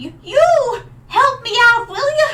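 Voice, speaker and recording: In a put-on character voice, a woman squeaks at an extremely high pitch with lively intonation. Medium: virtual streamer. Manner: folksy, drawling.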